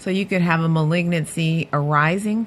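A woman's fairly low-pitched voice with an American accent, an ordinary speaking voice. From Cleveland, Ohio. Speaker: head and neck surgeon.

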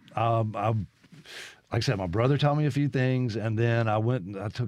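Speaking at a moderate pace, a man with a Mississippi accent uses a medium pitch and ordinary pitch variation. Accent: Southern US (Mississippi). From Mississippi (Brandon, Jackson area). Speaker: guitarist and guitar teacher. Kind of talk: radio interview.

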